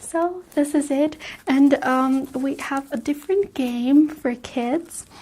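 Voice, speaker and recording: A soft-spoken woman talks at a very slow pace. Her voice is high in pitch with a dark, mellow tone. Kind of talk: ASMR vlog, casual talk to camera.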